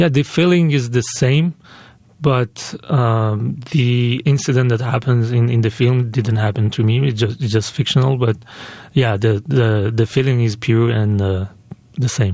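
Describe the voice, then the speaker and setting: A man with a Persian accent speaks at a fairly slow pace in a medium pitch, his tone dark and mellow, his loudness very even and his pitch variation ordinary. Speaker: filmmaker. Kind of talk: radio interview. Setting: radio interview. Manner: halting, many fillers and restarts.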